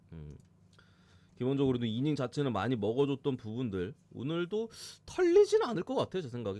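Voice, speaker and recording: Very wide pitch swings run through this man's speech. He talks at a fairly quick pace. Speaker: sports betting analyst streamer. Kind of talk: live stream sports analysis. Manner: fast, casual.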